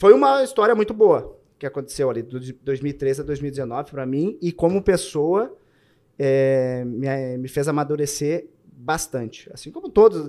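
A man with a Gaúcho Brazilian accent speaks over a quiet background, his tone dark and mellow, his pitch fairly high and his intonation lively. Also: fairly slow pace, big swings in loudness. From southern Brazil. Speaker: army soldier and butcher shop owner. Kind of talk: casual chat. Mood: reflective, nostalgic. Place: studio. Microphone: studio mic.

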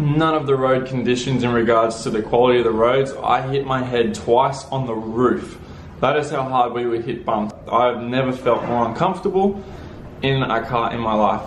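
At a moderate pace, a man speaks with ordinary pitch variation, with light background noise and audible room echo. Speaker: travel vlogger. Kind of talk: casual vlog chat. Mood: annoyed, recounting bad trip. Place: home room. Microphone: phone near.

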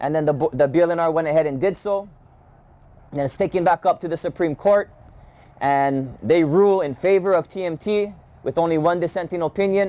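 With a Hawaiian accent, a man speaks at a moderate pace in a high-pitched, dark, mellow voice with ordinary pitch variation. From Hawaii (Kona, Big Island). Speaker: activist; guest. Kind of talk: public talk. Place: street. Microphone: handheld.

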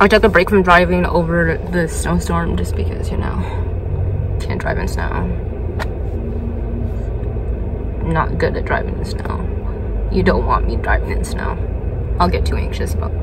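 A woman at a moderate pace with long, frequent pauses, over loud background noise. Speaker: vlogger. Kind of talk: casual vlog chat. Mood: relaxed, chatty. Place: car. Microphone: phone near.

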